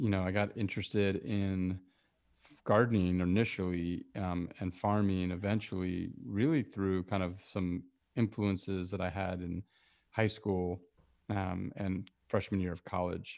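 Fairly slow and fairly even in intonation, a man talks in a very deep, low pitch. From South Africa. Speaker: urban farming entrepreneur and author. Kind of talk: interview. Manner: halting, many fillers and repetitions.

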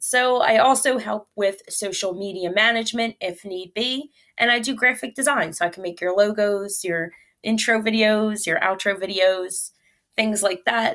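A woman with a normal speaking voice and an American accent talks at a moderate pace, with fairly high pitch and ordinary pitch variation, on a very clean recording with a silent background. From Philadelphia, Pennsylvania. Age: 30s. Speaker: comedian and mental health advocate. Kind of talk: interview.

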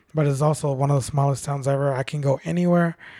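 A man with a fairly high pitch speaks at a fairly quick pace with fairly even intonation. His tone is dark and mellow, and somewhat breathy. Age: 30s. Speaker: bartender. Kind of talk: casual chat.

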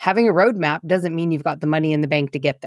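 A woman's very deep, low pitch, dry and close with no echo, over a quiet background. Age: 40s. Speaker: local energy officer. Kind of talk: casual chat.

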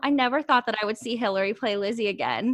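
With an American accent, a woman speaks at a high pitch in a bright, sharp tone. Her pace is fairly quick. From US Midwest, Ohio. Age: 20s. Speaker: podcast host, guest. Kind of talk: casual chat.

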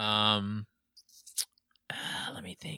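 A man's fairly low voice has a bright, sharp tone, captured in a dry, close sound with no echo. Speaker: podcast guest, former band musician. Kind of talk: casual chat. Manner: soft-spoken.

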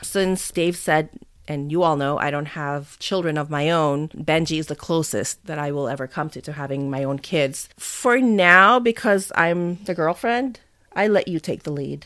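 On a very clean recording with a silent background, a woman speaks in a plain, everyday voice at a fairly low pitch and a moderate pace. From Philippines, Manila, then US from early teens. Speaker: podcast co-host, widow. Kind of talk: casual chat.

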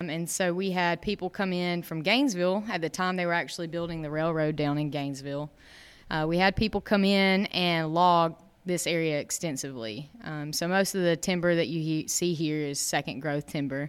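With a Southern US accent, a woman speaks at a fairly quick pace and a fairly low pitch, with ordinary pitch variation. The recording is very clean, with a silent background. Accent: Southern US (Georgia). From North Georgia, US (Dahlonega). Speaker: park naturalist. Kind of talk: interview. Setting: on location at a state park.

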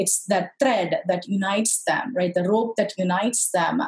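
At a fairly slow pace, a woman speaks somewhat breathily at a medium pitch with ordinary pitch variation. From southern India. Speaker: fertility coach. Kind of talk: casual interview.

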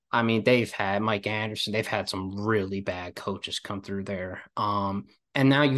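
Against a quiet background, a man with an East Coast US accent speaks at a moderate pace with fairly even intonation. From Philadelphia area, US. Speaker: college basketball podcaster. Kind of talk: casual chat.

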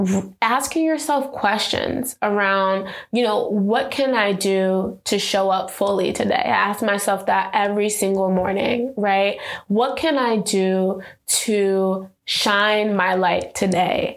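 A woman in an American accent at a very slow pace, medium in pitch and very even in loudness, with audible room echo. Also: ordinary pitch variation. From New York City (South Bronx). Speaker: entrepreneur. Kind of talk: personal testimony interview.

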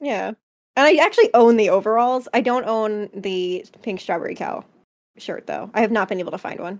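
This is an ordinary speaking voice with an American accent and ordinary pitch variation. It moves at a moderate pace with big swings in loudness. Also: woman, fairly high pitch for a woman. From New Jersey, US. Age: 20s. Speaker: podcast co-host and streamer. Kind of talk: casual chat. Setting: live stream on Twitch.

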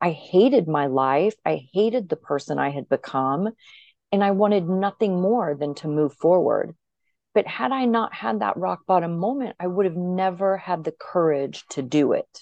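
Lively intonation runs through an ordinary speaking voice delivered at a moderate pace. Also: woman, fairly low pitch for a woman. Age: 50s. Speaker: podcast guest in addiction recovery, podcaster. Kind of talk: personal testimony interview.

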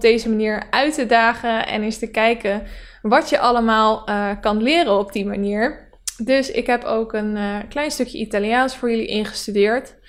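It is a plain, everyday voice, with fairly even intonation at a moderate pace. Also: woman. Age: 20s. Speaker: podcast host. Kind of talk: solo podcast monologue. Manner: casual, with frequent fillers.

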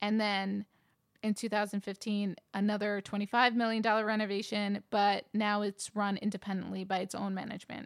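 A woman speaks at medium pitch and a fairly quick pace. Her intonation is monotone and flat, in a very clean recording with a silent background. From New York. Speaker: podcast co-host. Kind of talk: casual chat.

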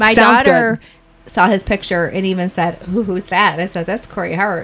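A woman's fairly even voice in a strong Chicago accent, over noticeable background noise. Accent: heavy Chicago accent, elongated vowels. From small town Illinois, near Chicago. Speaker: podcast co-host.

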